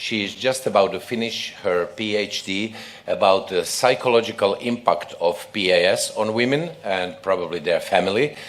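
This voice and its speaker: A man talks at a moderate pace with hardly any pauses. Noticeable background noise and audible room echo fill the recording. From Croatia. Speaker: obstetrics professor and session chair. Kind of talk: conference session introduction.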